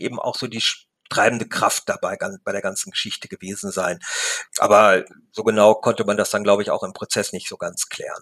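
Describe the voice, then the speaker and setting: Speaking at a moderate pace, a man delivers the lines. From Lippe region, Ostwestfalen, Germany. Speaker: newspaper reporter. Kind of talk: interview. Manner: hesitant, many fillers.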